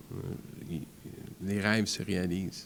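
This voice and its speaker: Fairly low in pitch, a man talks at a very slow pace. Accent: English. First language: English (speaking French). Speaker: foundation founder. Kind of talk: interview. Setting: studio.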